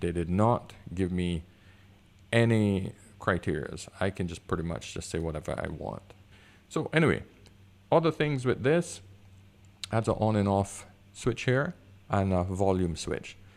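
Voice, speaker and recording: On a very clean recording with a silent background, a man talks at a moderate pace. He uses ordinary pitch variation and long, frequent pauses. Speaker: photographer and video reviewer. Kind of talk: product review. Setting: home room with high concrete ceilings. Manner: goes higher when excited.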